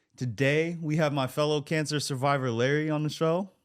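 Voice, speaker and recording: This is a normal speaking voice with an American accent, at a moderate pace with ordinary pitch variation. The recording is very clean, with a silent background. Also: man. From US Pacific Northwest, Portland, Oregon. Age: 20s. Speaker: podcast host, cancer survivor. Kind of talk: interview.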